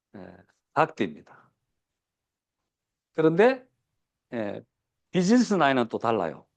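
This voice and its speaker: A man speaks at a fairly high pitch with vocal fry and very wide pitch swings. His pace is fairly slow, broken by long, frequent pauses. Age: 60s. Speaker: business seminar speaker. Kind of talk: lecture. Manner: many fillers and hesitations.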